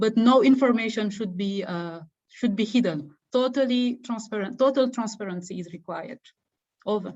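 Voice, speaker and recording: Somewhat breathy female voice with a Senegalese accent and big swings in loudness. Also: fairly high pitch for a woman, ordinary pitch variation, moderate pace. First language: Wolof. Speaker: fellowship alumna and webinar co-presenter. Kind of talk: online info session Q&A. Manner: halting, repetitive fillers.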